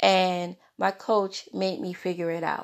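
A woman's medium-pitched voice with an animated tone against a quiet background. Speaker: podcaster, author and graphic designer. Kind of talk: solo podcast monologue. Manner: halting, with repeated words; animated, conversational.

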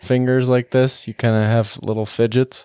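This man has an ordinary speaking voice at medium pitch, talking at a moderate pace. The sound is dry and close with no echo, in a very clean recording over a silent background. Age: 20s. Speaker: podcast host. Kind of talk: casual chat. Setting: studio.

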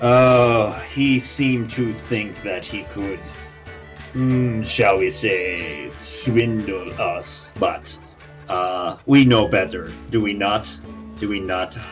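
A man's put-on character voice, fairly low-pitched and very slow, with clear music in the background. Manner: warm, theatrical, hesitant with many pauses.

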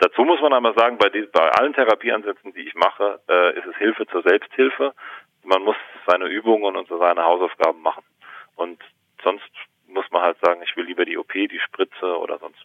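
His loudness goes through big swings. The man moves at a fairly quick pace. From Germany, Palatinate. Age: 30s. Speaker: actor and pain therapist. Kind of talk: casual interview conversation. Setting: phone call. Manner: talkative, many fillers.

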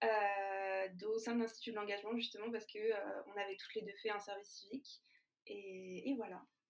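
A woman's medium-pitched voice at a moderate pace, in a monotone, flat intonation. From France, Lyon. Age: 20s. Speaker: food startup founder. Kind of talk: interview.

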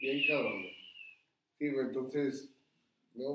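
A man with a Mexican accent talks at a fairly slow pace in a fairly high pitch. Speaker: restaurant owner. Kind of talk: casual chat.

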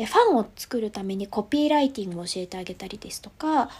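Her voice is somewhat breathy, with a dark, mellow tone and lively intonation, as this woman speaks. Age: 30s. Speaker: stuffed-toy business founder. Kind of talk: interview. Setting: video call.

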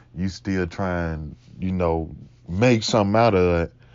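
A man's very deep, low voice at a fairly slow pace. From Mississippi, US South. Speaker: podcast host. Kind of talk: casual solo chat, game of would you rather.

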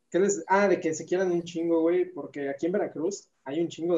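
A dark, mellow tone carries the speech along at a moderate pace. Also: man. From Mexico. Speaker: actor. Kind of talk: casual chat.

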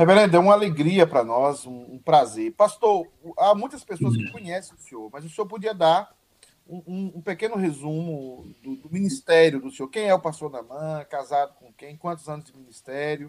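With big swings in loudness, a man speaks with a fairly high pitch and lively intonation at a moderate pace. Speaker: pastor and online show host. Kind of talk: casual chat. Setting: video call. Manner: animated.

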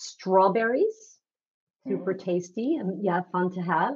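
A woman with an ordinary speaking voice, lively intonation and a moderate pace. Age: 50s. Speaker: nutritionist. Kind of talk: interview.

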